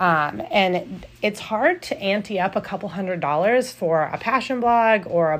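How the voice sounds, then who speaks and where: A plain, everyday voice with lively intonation. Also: woman. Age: 30s. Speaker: podcast host and blogger. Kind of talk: solo podcast monologue. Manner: casual, with frequent fillers.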